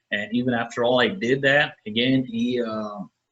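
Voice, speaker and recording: A man with a normal speaking voice and lively intonation. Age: 30s. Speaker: pro wrestler. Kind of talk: casual chat.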